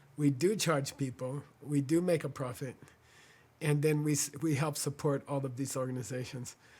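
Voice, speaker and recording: This man's voice is fairly high-pitched and somewhat breathy. He talks at a moderate pace with fairly even intonation. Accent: American. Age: 60s. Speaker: spiritual teacher and organization founder. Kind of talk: fundraising appeal. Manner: halting, many fillers.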